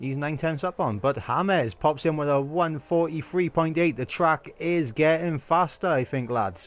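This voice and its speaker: A man with a Welsh accent and a fairly high pitch. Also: ordinary pitch variation, moderate pace, hardly any pauses. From Wales. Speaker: sim racing league commentator. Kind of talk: live commentary. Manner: animated.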